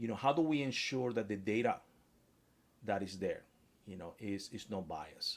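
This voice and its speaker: A Spanish accent at a moderate pace with ordinary pitch variation. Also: man. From Spanish-speaking country. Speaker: author and AI expert. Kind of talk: interview. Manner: hesitant, with fillers and restarts.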